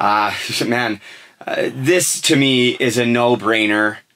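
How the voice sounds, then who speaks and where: In an unremarkable speaking voice, a man talks at a medium pitch with fairly even intonation. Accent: Canadian. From western Canada. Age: 30s. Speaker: podcast host. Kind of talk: casual chat. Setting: studio.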